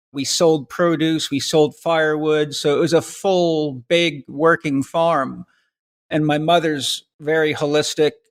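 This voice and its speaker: With an American accent, a man speaks at a fairly slow pace in an unremarkable speaking voice, fairly high in pitch with fairly even intonation, on a very clean recording with a silent background and a dry, close sound with no echo. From western US and Vancouver Island, Canada. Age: 60s. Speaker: health coach. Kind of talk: interview.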